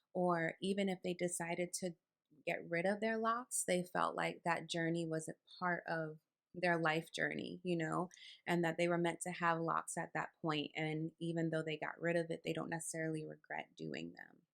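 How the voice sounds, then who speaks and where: A soft-spoken woman with an American accent talks at a moderate pace, recorded with a dry, close sound and no echo. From New York. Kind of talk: casual talk to camera.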